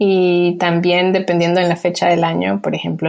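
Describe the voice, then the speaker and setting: A woman with a fairly low pitch at a fairly quick pace. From Colombia, then US from age 8. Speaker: emoji designer. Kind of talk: interview.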